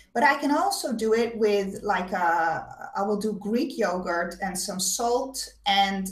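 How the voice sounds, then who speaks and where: With lively intonation and a fairly high pitch, a somewhat breathy woman speaks in audible room echo. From Netherlands, Amsterdam. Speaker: web show host with chronic illness. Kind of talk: casual chat.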